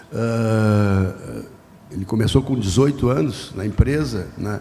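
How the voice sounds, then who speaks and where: A man with ordinary pitch variation, amid noticeable background noise and audible room echo. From southern Brazil, Porto Alegre. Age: 60s. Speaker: journalist and media executive. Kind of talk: podcast interview before live audience. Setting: stage with audience.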